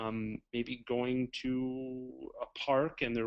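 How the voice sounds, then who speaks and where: This is a man speaking at a medium pitch. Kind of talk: webinar Q&A. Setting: webinar. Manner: varied, expressive intonation.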